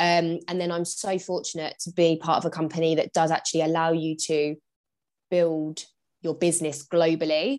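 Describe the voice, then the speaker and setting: A woman with a southern English accent, fairly low in pitch, monotone and flat, at a moderate pace, on a very clean recording with a silent background. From England, Bedfordshire. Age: 20s. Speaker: business mentor and mum. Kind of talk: casual chat.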